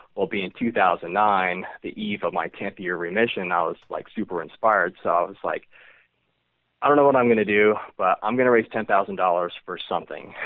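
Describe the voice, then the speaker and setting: Speaking at a fairly quick pace, a man with a fairly low pitch and ordinary pitch variation has a plain, everyday voice. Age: 40s. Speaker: cancer survivor and charity founder. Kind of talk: interview.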